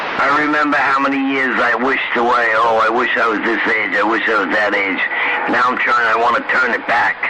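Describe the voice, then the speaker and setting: At a fairly quick pace, a man with a medium pitch speaks with fairly even intonation, amid noticeable background noise and audible room echo. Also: very even loudness. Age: 60s. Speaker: CB radio operator. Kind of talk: casual radio chat.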